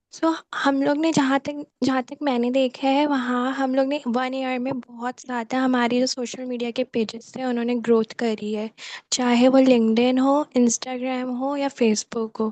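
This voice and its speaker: In a dry, close sound with no echo, a woman speaks with monotone, flat intonation. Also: fairly slow pace. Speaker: student volunteer, media team advisor. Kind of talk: online meeting report. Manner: hesitant, many fillers.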